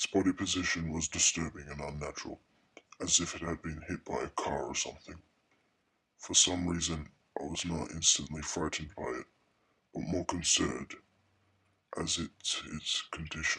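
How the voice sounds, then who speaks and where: A man uses a put-on character voice with a very deep, low pitch. He talks at a moderate pace with long, frequent pauses. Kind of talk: horror narration. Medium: read story. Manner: hushed, somber.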